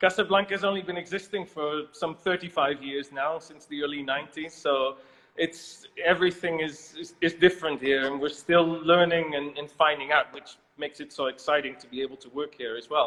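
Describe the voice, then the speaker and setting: A man with a Dutch accent talks at a fairly quick pace in a fairly high voice, his intonation fairly even but his loudness swinging widely. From Netherlands. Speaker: winemaker. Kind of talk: interview.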